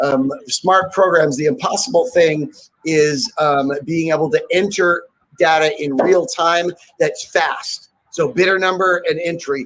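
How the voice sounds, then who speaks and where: A man with a high-pitched voice. He speaks at a fairly slow pace, and his pitch moves in an ordinary way. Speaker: professional charity auctioneer. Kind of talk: live auction presentation to an audience. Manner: upbeat, energetic, playful. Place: home room. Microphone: webcam.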